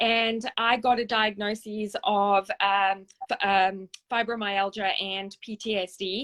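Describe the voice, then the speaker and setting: In a very slow, monotone delivery with flat intonation, a woman speaks at a medium pitch with a South African accent. The sound is dry and close with no echo, over a quiet background. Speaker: service dog charity founder and trainer. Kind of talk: interview.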